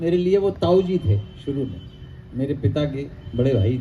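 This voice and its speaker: A man's medium-pitched voice with very wide pitch swings, over noticeable background noise. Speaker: poet. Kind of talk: interview at literary festival.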